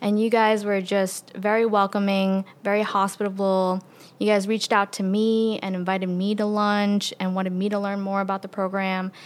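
A woman in a New York accent, moderate in pace, monotone and flat in intonation, with hardly any pauses. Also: medium pitch for a woman. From New York City, Queens. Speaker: medical resident. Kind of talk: interview.

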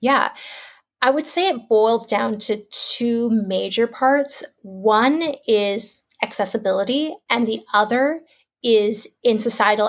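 In a Canadian accent, a woman speaks at a very slow pace in a fairly high pitch with ordinary pitch variation, captured on a very clean recording with a silent background. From Canada, Toronto. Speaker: author and entrepreneur. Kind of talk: interview.

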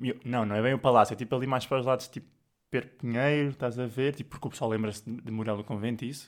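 The intonation is flat and monotone. The words come very fast. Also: man, medium pitch for a man. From Portugal, Sintra area. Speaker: podcast co-host. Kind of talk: casual chat.

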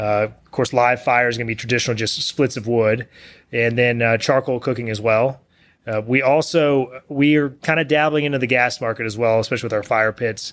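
Fairly quick and fairly even in intonation, a man with a Texan accent talks at a medium pitch in a very clean recording with a silent background. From Texas, small town west of Houston. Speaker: CEO of a smoker and grill manufacturer. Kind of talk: podcast interview.

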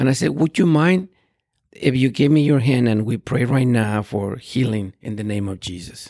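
With a dark, mellow tone, a man talks using lively intonation. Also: medium pitch for a man, moderate pace. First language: Spanish. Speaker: pastor. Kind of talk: interview.

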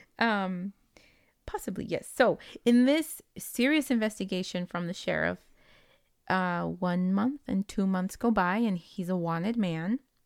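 In a Spanish accent, a woman speaks at a fairly slow pace with ordinary pitch variation. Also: medium pitch for a woman, very clean recording, silent background. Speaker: podcast host. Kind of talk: casual storytelling chat.

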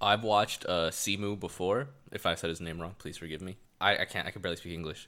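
A man with a very deep, low pitch and a bright, sharp tone talks at a very fast pace, his intonation fairly even but his loudness swinging widely, on a very clean recording with a silent background. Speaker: podcast host. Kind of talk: casual chat. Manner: casual, slangy.

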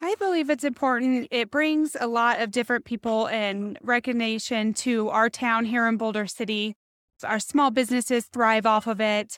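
A woman with an American accent uses a normal speaking voice at a fairly high pitch, a moderate pace and ordinary pitch variation. The sound is dry and close with no echo, in a very clean recording with a silent background. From Nevada, Las Vegas area. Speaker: credit union representative and chamber board member. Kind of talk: interview.

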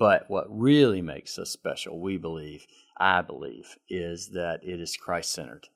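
A man with a Southern US accent at a moderate pace, with big swings in loudness, over a quiet background. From South Carolina, Greenville. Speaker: CEO of senior living ministry. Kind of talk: interview.

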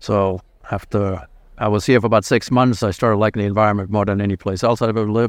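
A man's fairly low voice with a German accent, very fast and fairly even in intonation, over a quiet background. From Germany (Frankfurt). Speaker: plastic surgeon. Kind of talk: interview. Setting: convention hall, live event.

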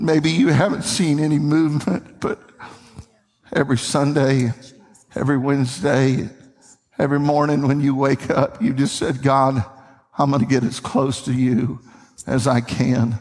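A fairly high male voice in a Tennessee accent, moderate in pace, with long, frequent pauses and ordinary pitch variation. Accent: Southern US (Tennessee). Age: 50s. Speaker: pastor. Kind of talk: sermon. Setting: church. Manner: animated.

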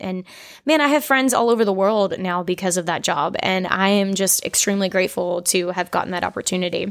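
The recording is very clean, with a silent background. A woman of medium pitch speaks at a moderate pace with ordinary pitch variation. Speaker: podcast host and singer. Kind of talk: solo podcast monologue, storytelling. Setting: home kitchen. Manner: casual, chatty.

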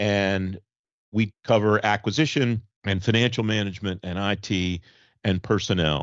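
At a moderate pace, a man talks in a fairly low pitch with fairly even intonation and an unremarkable speaking voice. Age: 50s. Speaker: government affairs TV and podcast host. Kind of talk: casual chat.

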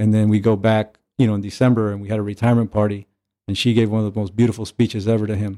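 With an American accent, a man speaks very fast in a dark, mellow, fairly low voice that stays flat and monotone. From US, Mexican American. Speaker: former pro baseball catcher. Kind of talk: casual chat.

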